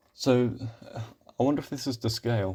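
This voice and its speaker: With a British accent, a man talks at a moderate pace in a relaxed, dark and mellow tone. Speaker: YouTuber commentating on maps. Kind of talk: casual commentary. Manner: halting, many fillers.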